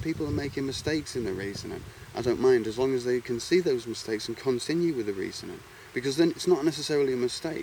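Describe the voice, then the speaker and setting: A man with an English accent talks at a very fast pace. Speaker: video blogger. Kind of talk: monologue vlog. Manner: halting, repetitive.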